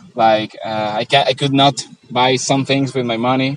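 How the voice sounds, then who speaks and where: A man talks fairly slowly in a medium pitch. Noticeable background noise is present, and his intonation stays fairly even. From Venezuela. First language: Spanish. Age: 20s. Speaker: traveller. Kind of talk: casual interview. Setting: outdoors in a park. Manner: halting, many fillers.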